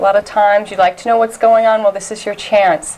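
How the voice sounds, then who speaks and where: A woman talks with fairly even intonation while noticeable background noise is heard. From upstate New York (Elmira). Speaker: community TV host. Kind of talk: interview.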